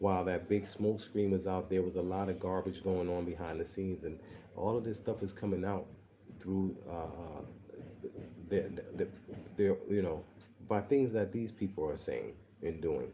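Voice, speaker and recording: In an American accent, a quiet voice with a dark, mellow tone moves at a moderate pace with fairly even intonation and long, frequent pauses. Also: man, very deep, low pitch for a man. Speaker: online show host. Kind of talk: livestream commentary. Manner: speaking quietly.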